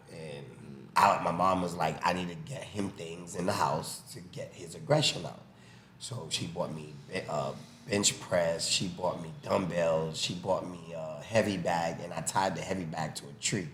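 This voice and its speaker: Amid audible room echo and noticeable background noise, a man with a Haitian-American accent speaks in a very deep, low pitch with ordinary pitch variation and big swings in loudness. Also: moderate pace. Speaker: boxing coach. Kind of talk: casual chat, storytelling.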